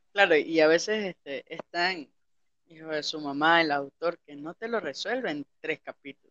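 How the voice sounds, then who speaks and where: At a moderate pace, a man with a fairly high pitch and an unremarkable speaking voice uses ordinary pitch variation while his loudness swings a lot. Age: 20s. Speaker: podcast host. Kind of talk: casual chat.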